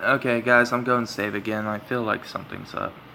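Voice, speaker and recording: Noticeable background noise runs under this recording. A man talks at medium pitch and a moderate pace. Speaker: gamer. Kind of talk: let's play commentary with reading aloud. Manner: halting, many fillers.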